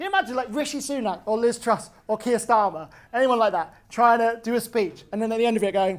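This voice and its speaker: A man with a British accent, an extremely high pitch, ordinary pitch variation and a very fast pace. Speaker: comedian. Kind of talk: stand-up. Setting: stage with audience. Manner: halting.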